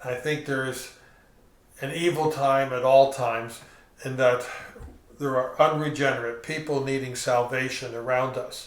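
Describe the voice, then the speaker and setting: With audible room echo and noticeable background noise, a man speaks at a moderate pace and medium pitch, flat and monotone, leaving long, frequent pauses. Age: 60s. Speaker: pastor. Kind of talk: sermon. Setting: recorded at home.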